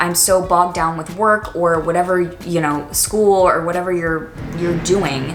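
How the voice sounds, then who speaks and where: An American accent at a moderate pace, with noticeable background noise. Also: woman. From Washington, D.C. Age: 20s. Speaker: college student and YouTuber. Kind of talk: casual talk to camera.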